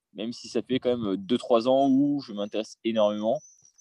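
Dry and close with no echo, a man's voice has a medium pitch, a dark, mellow tone and ordinary pitch variation. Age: 20s. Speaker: aspiring property investor, salesman. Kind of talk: interview. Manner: hesitant.

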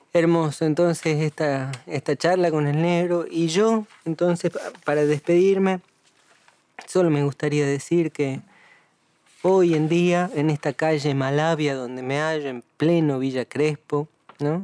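Speaking at a fairly slow pace, a man uses a normal speaking voice with a fairly high pitch and fairly even intonation in a dry, close sound with no echo. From Tucumán, Argentina. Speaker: folk musician and co-host. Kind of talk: casual chat.

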